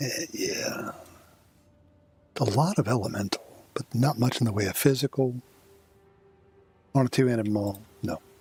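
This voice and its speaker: A man speaks at a moderate pace with long, frequent pauses, a medium pitch and ordinary pitch variation over noticeable background noise. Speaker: video game streamer. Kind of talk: gameplay commentary. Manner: casual, with fillers.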